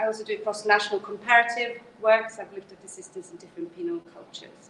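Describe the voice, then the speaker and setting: Noticeable background noise runs under the speech. The pace is fairly quick, and the pitch varies in an ordinary way. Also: woman. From Sweden. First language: Swedish. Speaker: criminology researcher. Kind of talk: academic seminar talk. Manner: fast; hesitant, many fillers.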